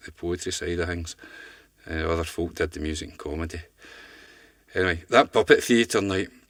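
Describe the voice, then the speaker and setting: In a Glaswegian accent, a man with a very deep, low voice talks at a fairly quick pace with fairly even intonation, long, frequent pauses and big swings in loudness. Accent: Glaswegian Scottish. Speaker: poet. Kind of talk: casual spoken introduction to poems. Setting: studio.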